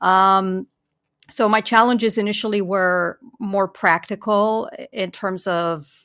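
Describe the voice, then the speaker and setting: A woman with a Romanian accent and a bright, sharp tone, ordinary pitch variation, a dry, close sound with no echo and a very clean recording with a silent background. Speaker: policy researcher. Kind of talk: interview.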